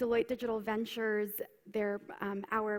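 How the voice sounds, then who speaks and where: At a moderate pace, a woman speaks fairly high with an unremarkable speaking voice. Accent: American. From United States. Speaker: keynote speaker, consultant. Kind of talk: conference keynote. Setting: stage with audience.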